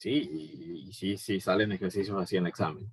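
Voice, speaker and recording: Heard dry and close with no echo, this is a man talking. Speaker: physics teacher. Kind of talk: recorded lecture. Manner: fast; hesitant, many fillers.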